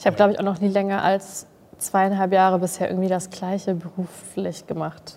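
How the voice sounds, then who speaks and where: A woman talks at a fairly quick pace in a medium pitch. Her intonation is monotone and flat. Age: 20s. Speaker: social media creator and trained graphic designer. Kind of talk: casual chat.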